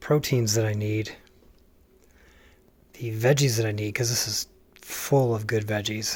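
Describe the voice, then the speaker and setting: A man talks in a soft-spoken, somewhat breathy voice. His intonation stays fairly even. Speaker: home cook and family caregiver vlogger. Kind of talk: casual cooking tutorial. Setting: home kitchen at night. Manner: quiet, soft-spoken; hesitant with fillers.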